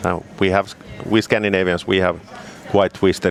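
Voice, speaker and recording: Noticeable background noise sits behind the speaker. A man talks at a fairly low pitch with a Finnish accent. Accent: Finnish, rolling R's. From Finland. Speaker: snowmobile product specialist. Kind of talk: casual interview chat. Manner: halting, with fillers.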